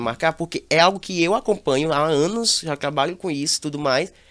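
Recorded very cleanly against a silent background, a man talks at a fairly high pitch with ordinary pitch variation. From Brazil, Teresina (Piauí). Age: 20s. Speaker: reality show commentator influencer. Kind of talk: casual chat.

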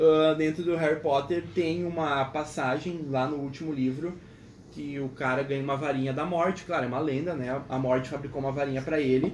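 A normal speaking voice with fairly even intonation at a fairly quick pace. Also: man, fairly high pitch for a man. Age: 20s. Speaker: engineering student. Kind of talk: casual chat.

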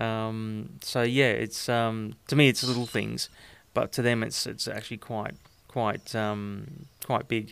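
A man with an Australian accent speaks at a very slow pace, his intonation fairly even. The recording is very clean, with a silent background. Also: medium pitch for a man. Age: 50s. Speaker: host's partner, interviewee. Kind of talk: casual interview. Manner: halting, many fillers.

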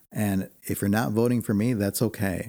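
In an American accent, a man talks at a moderate pace with a fairly low pitch and a dark, mellow tone. His intonation is fairly even, and the recording is very clean with a silent background. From US Midwest, Chicago. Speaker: political candidate. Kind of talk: radio interview. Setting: radio studio.

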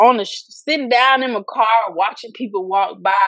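A woman with an American accent speaks in a normal speaking voice at a fairly slow pace. Her pitch is fairly high, with ordinary variation. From Florida, Fort Lauderdale. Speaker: author and high school teacher. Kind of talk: casual interview.

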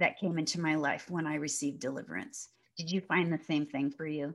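The speaker is a woman with a fairly low voice. The recording is very clean, with a silent background. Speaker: podcast host and minister. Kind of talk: casual interview chat. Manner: loud.

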